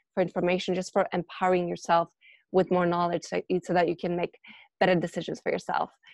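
In a dry, close sound with no echo and a quiet background, a woman with a fairly low pitch speaks very fast in a monotone, flat intonation. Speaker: interviewer and coach. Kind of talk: casual interview.

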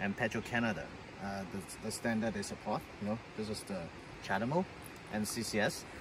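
Noticeable background noise accompanies a man's fairly low-pitched voice, which has ordinary pitch variation and a dry sound with no echo. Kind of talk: casual vlog chat. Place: street. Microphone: camera far.

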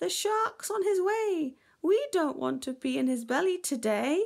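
Putting on a character voice, a woman speaks with an extremely high pitch, a slightly mellow tone and vocal fry. Her intonation is lively and her pace fairly slow.

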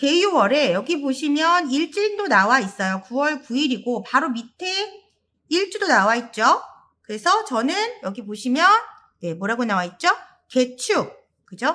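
Raised and projected, a woman's high, bright, sharp voice moves at a fairly slow pace through very wide pitch swings. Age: 40s. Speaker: saju fortune-telling teacher. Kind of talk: lecture.

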